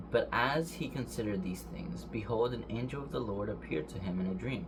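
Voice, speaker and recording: A man's speech comes with audible echo from the room and noticeable noise behind it. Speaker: bible reader. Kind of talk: reading aloud. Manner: fast; halting.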